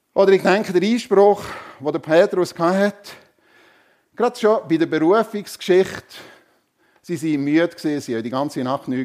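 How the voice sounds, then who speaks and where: A man with a fairly high pitch, animated tone and lively intonation at a moderate pace. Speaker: preacher. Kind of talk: sermon in church, conversational and warm. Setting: church with congregation. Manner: animated, humorous, conversational; rhetorical questions to the congregation.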